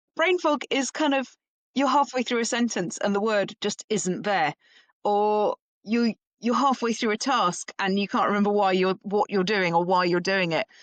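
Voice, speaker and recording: A woman with an English accent at a moderate pace, her intonation lively and her loudness very even. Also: medium pitch for a woman. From England. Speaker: perimenopause educator. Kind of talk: interview.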